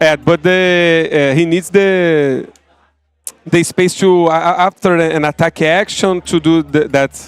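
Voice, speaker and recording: A man with a non-native accent speaks fairly slowly in a high voice, his intonation fairly even and his loudness very even, in a dry, close sound with no echo. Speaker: card game player. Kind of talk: post-match interview. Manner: halting, hesitant.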